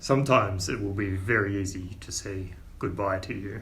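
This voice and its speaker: Through clear background noise, a man puts on a gruff character voice at a fairly low pitch and a moderate pace. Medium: actual play. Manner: slow, deliberate, gruff.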